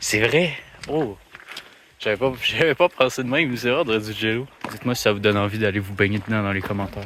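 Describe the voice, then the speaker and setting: A man talks fairly quickly, his pitch varying in an ordinary way. Noticeable background noise is present throughout. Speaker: vlogger. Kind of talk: travel vlog. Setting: outdoors hiking. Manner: animated; loud. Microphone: poor audio quality.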